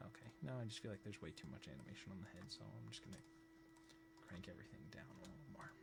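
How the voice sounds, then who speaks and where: With music in the background and audible room echo, a man with a very deep, low pitch talks at a very fast pace, his pitch swinging very widely. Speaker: animator teaching on a live stream. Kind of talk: live-stream tutorial. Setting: live stream at computer. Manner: careful, clear diction.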